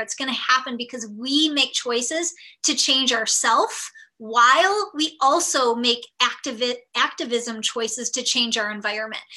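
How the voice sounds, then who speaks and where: A woman with an American accent speaks in a high pitch at a moderate pace. Her voice is raised and projected, with a bright, sharp tone. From United States. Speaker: nutrition coach. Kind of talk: webinar talk.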